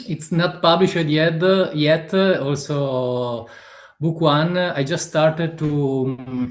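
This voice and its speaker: Very slow delivery with ordinary pitch variation. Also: man, fairly high pitch for a man. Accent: Italian. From Italy. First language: Italian. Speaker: author. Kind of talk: interview. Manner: halting, many fillers.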